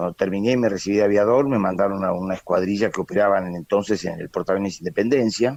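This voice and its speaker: A man's fairly low voice at a very fast pace, with hardly any pauses. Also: ordinary pitch variation. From Buenos Aires, Argentina. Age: 80s+. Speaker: retired naval aviator, war veteran. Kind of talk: interview. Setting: phone call.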